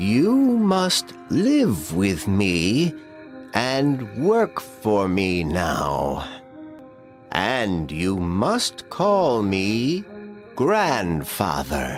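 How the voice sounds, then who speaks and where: Put-on character voice from a man, fairly low with very wide pitch swings, at a very slow pace over clear background music. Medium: read story. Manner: calm, authoritative.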